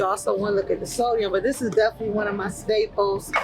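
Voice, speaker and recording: Talking very fast over noticeable background noise, a woman sounds animated, her pitch fairly high. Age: 50s. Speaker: bodybuilder and fitness coach. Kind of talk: casual vlog talk. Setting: inside a grocery store.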